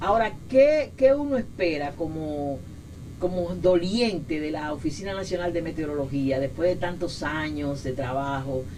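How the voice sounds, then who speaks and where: Delivered at a fairly slow pace with lively intonation, the voice carries audible room echo and noticeable background noise. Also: woman. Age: 60s. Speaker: meteorologist, weather office director. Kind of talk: interview. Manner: halting, many repetitions and fillers.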